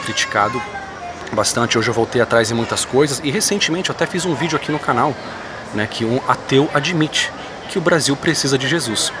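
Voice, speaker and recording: A soft-spoken man talks at a fairly quick pace with ordinary pitch variation. Music plays in the background. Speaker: YouTuber commenting on religion and politics. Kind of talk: vlog monologue. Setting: airport.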